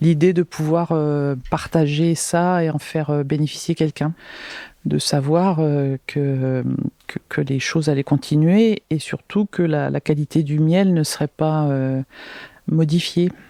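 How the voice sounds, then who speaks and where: A woman talks at a very slow pace with a very deep, low pitch and a dark, mellow tone. Her intonation stays fairly even, and the sound is dry and close with no echo. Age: 60s. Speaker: beekeeper. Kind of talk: interview. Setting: honey house at her home. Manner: halting.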